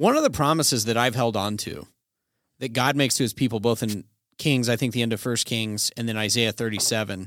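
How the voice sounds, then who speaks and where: In an American accent, a man with an ordinary speaking voice talks at a fairly quick pace, medium in pitch with fairly even intonation, on a very clean recording with a silent background. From Colorado, US. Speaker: podcast co-host. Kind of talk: casual theological discussion.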